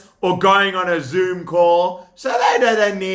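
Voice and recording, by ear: Fairly even intonation while reading aloud in a natural voice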